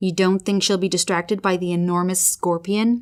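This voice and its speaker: Quietly and at a moderate pace, a woman uses a put-on character voice at medium pitch on a very clean recording with a silent background. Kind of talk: bedtime story. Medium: read story. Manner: timid, quiet.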